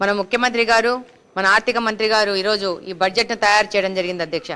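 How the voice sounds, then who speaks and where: With a normal speaking voice, a woman speaks at medium pitch with very even loudness and fairly even intonation on a very clean recording with a silent background. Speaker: politician. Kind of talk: legislative assembly speech.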